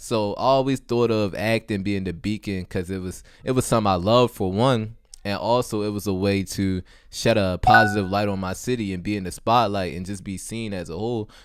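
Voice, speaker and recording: In a plain, everyday voice with an American accent, the speaker talks at a fairly quick pace with fairly even intonation on a very clean recording with a silent background. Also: man, fairly low pitch for a man. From West Baltimore, Maryland. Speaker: student actor. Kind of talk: podcast interview.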